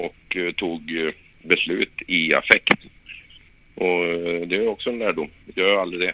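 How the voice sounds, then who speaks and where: A man with a very deep, low pitch talks at a fairly slow pace in a fairly even intonation, leaving long, frequent pauses. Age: 30s. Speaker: former professional footballer. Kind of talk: interview. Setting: phone call. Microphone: poor phone line sound.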